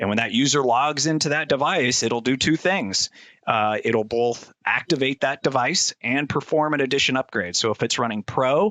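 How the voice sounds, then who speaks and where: With very even loudness, a man speaks at a medium pitch with ordinary pitch variation. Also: hardly any pauses. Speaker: IT expert guest. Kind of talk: technical explanation in interview. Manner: fast.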